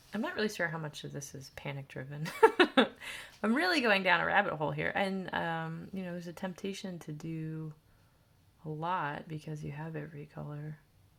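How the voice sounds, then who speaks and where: A woman talks at a fairly quick pace with big swings in loudness. The recording is very clean, the background silent. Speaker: art teacher. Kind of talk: tutorial. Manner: casual thinking aloud.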